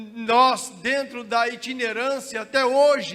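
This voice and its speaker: A man's shrill, raised, projected voice sits at an extremely high pitch. Room echo is audible. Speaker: pastor. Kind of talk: sermon. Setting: church.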